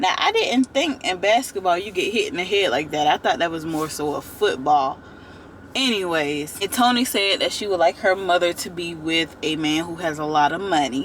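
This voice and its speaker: Noticeable background noise accompanies a woman with a fairly low pitch who speaks at a moderate pace with lively intonation. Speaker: YouTube TV reviewer. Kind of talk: casual vlog commentary. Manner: animated, conversational.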